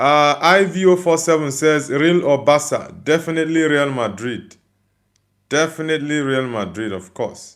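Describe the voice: A man speaks at a moderate pace with fairly high pitch and ordinary pitch variation. His tone is fairly bright, and the recording is very clean with a silent background.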